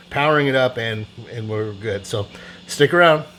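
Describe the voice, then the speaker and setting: Over noticeable background noise, a man with medium pitch speaks at a moderate pace. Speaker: scale model builder and YouTuber. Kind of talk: tutorial. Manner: casual, hesitant with many fillers; mumbling.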